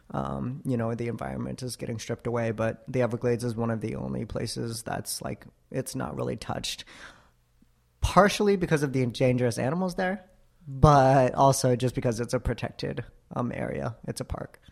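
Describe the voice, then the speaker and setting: Lively intonation in an American accent at a fairly quick pace. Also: man, medium pitch for a man. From US South, Florida (Tampa Bay). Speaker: university staff member. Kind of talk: interview. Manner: hesitant with frequent fillers.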